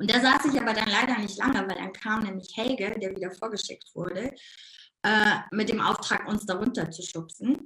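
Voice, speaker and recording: This woman talks with a slight Ruhr accent. Her pitch is fairly high, with ordinary pitch variation. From Ruhr area, Germany. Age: 50s. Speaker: life coach. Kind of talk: casual interview. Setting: live video stream. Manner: animated; fast.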